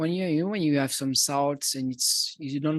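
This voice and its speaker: A man with a Swiss French accent and a fairly high pitch, dry and close with no echo, against a quiet background. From Switzerland. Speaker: musician and video producer. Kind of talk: audience Q&A. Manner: halting.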